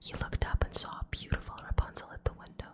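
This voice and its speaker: Whispering at a fairly slow pace. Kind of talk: ASMR whisper reading of a fairy tale with humorous commentary. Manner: whispered, soft.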